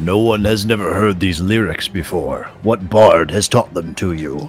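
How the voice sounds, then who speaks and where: Against clear background noise, a man does a put-on character voice at a fairly low pitch and a moderate pace. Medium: actual play. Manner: deadpan, third-person speech.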